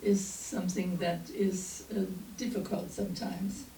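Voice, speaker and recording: A woman speaks with a German accent and fairly even intonation. Audible room echo and noticeable background noise are present. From East Germany. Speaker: minister. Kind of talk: sermon. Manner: halting.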